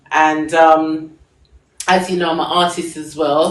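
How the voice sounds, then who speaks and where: A woman's fairly low voice at a fairly slow pace, with audible room echo. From England. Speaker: singer and fashion designer. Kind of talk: live stream talk.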